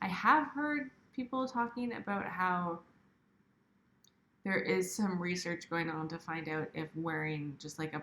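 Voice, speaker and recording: A woman speaks quietly at a fairly slow pace. Her intonation is lively. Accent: Canadian. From Canada, Ontario. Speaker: outdoor video channel co-host. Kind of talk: livestream Q&A. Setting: livestream at home, baby sleeping. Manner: quiet, subdued.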